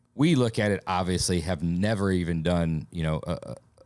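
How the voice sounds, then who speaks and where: At a fairly quick pace, a man speaks with a slight Southern US accent. His pitch is very deep and low, with ordinary variation. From Alabama. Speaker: podcast host. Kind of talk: casual chat.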